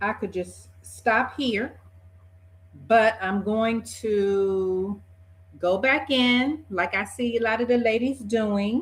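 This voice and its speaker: A somewhat breathy woman's voice, fairly high in pitch with ordinary pitch variation, relaxed in tone, at a very slow pace with long, frequent pauses. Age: 50s. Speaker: beauty vlogger. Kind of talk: casual talk to camera. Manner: chatty, relaxed.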